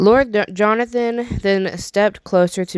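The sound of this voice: Someone reads aloud without forcing the voice.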